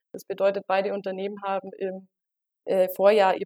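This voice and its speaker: A woman at a moderate pace on a very clean recording with a silent background, the sound dry and close with no echo. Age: 20s. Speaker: market research consultant. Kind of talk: interview.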